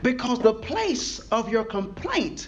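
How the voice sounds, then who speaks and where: A man speaks in an animated tone. Noticeable background noise is present. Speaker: pastor. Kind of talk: sermon. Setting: church with a live congregation. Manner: animated, call-and-response preaching with rising intensity; conversational, colloquial, pausing for congregation replies.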